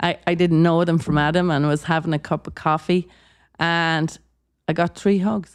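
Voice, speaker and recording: With an Irish accent, a woman speaks at a moderate pace in a fairly low pitch, her intonation flat and monotone and her loudness very even. The recording is very clean, with a silent background. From Ireland. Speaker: guest on a wellness podcast. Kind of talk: casual chat. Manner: halting, many repeated words.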